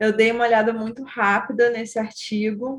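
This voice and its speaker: A woman with a Rio de Janeiro accent speaks at a fairly slow pace. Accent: carioca. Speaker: course teacher. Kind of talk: online class.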